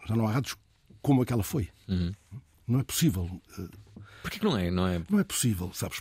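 The voice is somewhat breathy with lively intonation, captured on a very clean recording with a silent background. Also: man. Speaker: radio host. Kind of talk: casual chat. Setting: studio.

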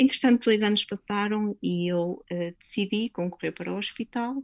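A woman speaks with ordinary pitch variation in a dry, close recording with no echo. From northern Portugal, Vila Nova de Gaia. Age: 40s. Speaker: nurse. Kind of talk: interview. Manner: halting.

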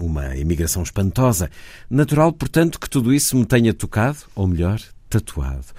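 A man with a dark, mellow, somewhat breathy tone speaks at a moderate pace in a fairly low pitch that swings very widely. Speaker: radio host. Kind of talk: radio presentation.

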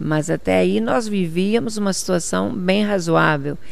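This woman's fairly low voice swings very widely in pitch, with audible room echo around it. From Portugal, Viseu district, emigrated to Brazil at 10. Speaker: politician. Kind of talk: interview.

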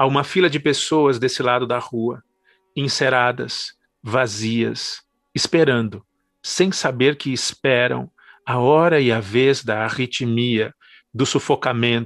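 A man at a medium pitch and a very slow pace, with ordinary pitch variation, a dry, close sound with no echo, and a quiet background. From Brazil, São Paulo. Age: 40s. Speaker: poet and professor. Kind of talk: poetry reading.

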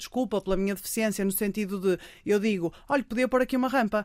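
With ordinary pitch variation, a woman speaks very fast. The background is silent, and the recording is very clean. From Portugal, Porto. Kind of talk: radio interview. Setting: studio. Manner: loud.

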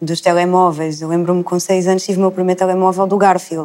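At a very fast pace, a woman speaks in monotone, flat intonation with a fairly low pitch and a dark, mellow tone. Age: 20s. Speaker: psychology student. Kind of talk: panel discussion.

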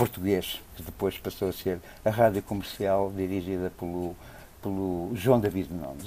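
A man talks at a fairly slow pace. His very deep, low voice has a dark, mellow tone. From Angola (Lunda Norte), then Portugal. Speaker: jazz programmer and festival director. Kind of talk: interview. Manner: hesitant, many fillers.

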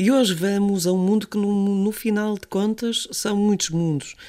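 In a European Portuguese accent, a woman speaks on a very clean recording with a silent background. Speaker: podcast host. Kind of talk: casual chat.

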